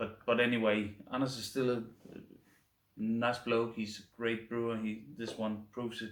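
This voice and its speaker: A man speaks fairly slowly with a Danish accent. His medium-pitched delivery is monotone and flat. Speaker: beer reviewer. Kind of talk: casual review monologue. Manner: halting, stumbling over words.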